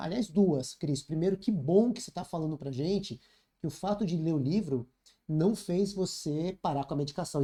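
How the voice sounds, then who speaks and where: A man with a high pitch and a dark, mellow tone speaks with lively intonation. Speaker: leadership mentor and author. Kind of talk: podcast interview. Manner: fast.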